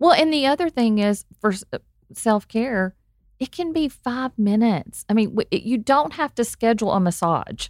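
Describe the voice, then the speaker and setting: A woman with an Arkansas accent speaks at a fairly high pitch with lively intonation, in a dry, close sound with no echo. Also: moderate pace. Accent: Arkansas Southern. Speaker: guest sharing personal story. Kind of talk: casual chat.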